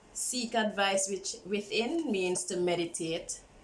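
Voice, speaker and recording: Room echo can be heard around speech that proceeds very slowly. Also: woman. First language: not English. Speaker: tarot reader. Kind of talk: tarot reading. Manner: casual.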